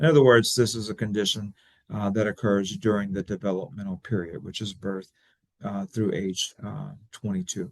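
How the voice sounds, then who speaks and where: A man talks in a south Louisiana accent at a fairly low pitch with ordinary variation. The sound is dry and close, with no echo. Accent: south Louisiana Cajun English. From Louisiana, Church Point (Cajun). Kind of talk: webinar presentation. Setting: webinar. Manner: fast.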